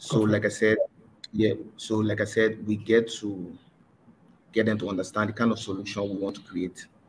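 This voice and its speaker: The speaker talks at a fairly quick pace with a somewhat breathy voice, monotone, flat intonation, and long, frequent pauses. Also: man, fairly low pitch for a man. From Liberia. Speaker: former student athlete, partnerships manager. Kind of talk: webinar panel discussion. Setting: online webinar. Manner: halting.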